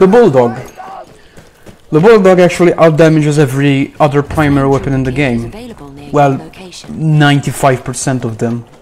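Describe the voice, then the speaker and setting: The speech moves at a moderate pace with long, frequent pauses. Music plays in the background. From Malta. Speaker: gaming streamer. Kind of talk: live gameplay commentary. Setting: live stream.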